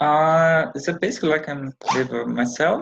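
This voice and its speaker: The speaker has a non-native accent and talks at a moderate pace. The sound is dry and close, with no echo. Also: man. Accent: foreign accent, self-described. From Brazil. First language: Portuguese. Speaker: counselling student. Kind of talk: counselling role-play. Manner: halting.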